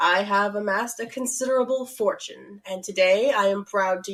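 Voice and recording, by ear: The text is read aloud in a natural voice whose pitch shifts in an ordinary way.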